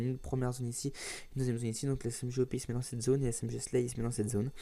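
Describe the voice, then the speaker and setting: A man's medium-pitched voice with a dark, mellow tone at a very fast pace. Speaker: gaming YouTuber. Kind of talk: gameplay tutorial commentary. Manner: halting, many fillers.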